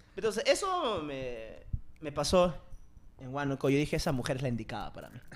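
A man speaks in a plain, everyday voice, fairly high in pitch and at a fairly quick pace. His intonation is lively, with big swings in loudness. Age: 20s. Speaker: podcast host. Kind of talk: casual chat.

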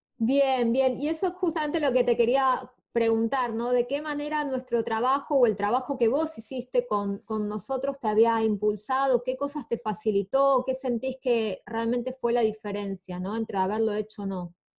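At a moderate pace with hardly any pauses, a woman speaks in a high pitch with ordinary pitch variation. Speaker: podcast host. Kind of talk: interview. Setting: guest's home.

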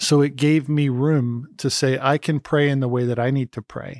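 A man with a plain, everyday voice speaks at a moderate pace and medium pitch, his intonation fairly even, in a dry, close recording with no echo that is very clean with a silent background. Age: 40s. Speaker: HR conflict mediator, former youth pastor. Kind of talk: casual chat.

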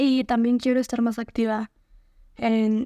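A fairly slow, monotone voice with a dark, mellow tone and flat intonation, recorded dry and close with no echo. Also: woman. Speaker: podcast host. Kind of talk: casual solo podcast monologue.

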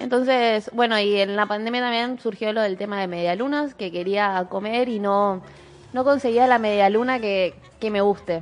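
A woman with an unremarkable speaking voice, fairly high in pitch, at a moderate pace with ordinary pitch variation. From Chaco, Argentina. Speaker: small food business owner. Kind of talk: interview.

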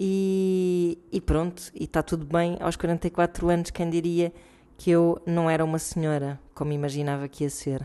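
A woman speaks fairly slowly in a fairly low pitch, her tone dark and mellow and her intonation monotone and flat. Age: 40s. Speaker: listener contributor, mother. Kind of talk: recorded voice message.

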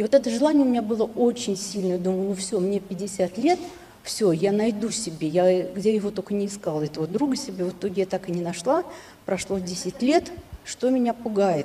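Through noticeable background noise, a woman speaks at a medium pitch. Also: ordinary pitch variation, moderate pace. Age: 60s. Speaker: audience member. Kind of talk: asking a question.

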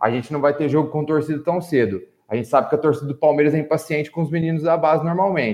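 A man with a fairly high voice talks at a very fast pace with ordinary pitch variation. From Minas Gerais, Brazil. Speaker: football coach, panelist. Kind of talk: casual football discussion podcast.

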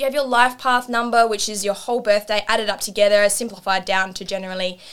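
Her voice is a normal speaking voice, fairly high for a woman, with fairly even intonation. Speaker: meditation and spiritual mentor. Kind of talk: casual chat.

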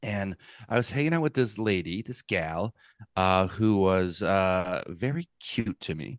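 In a dry, close recording with no echo and a quiet background, a man with a normal speaking voice talks at a fairly slow pace. His pitch is fairly low and his intonation is lively. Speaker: comedian. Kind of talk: casual chat. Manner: joking, playful.

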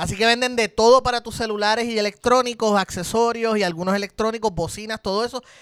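A man's high voice with a Puerto Rican accent, very fast with hardly any pauses, intonation fairly even. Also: dry, close sound with no echo. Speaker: podcast co-host. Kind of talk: casual chat.

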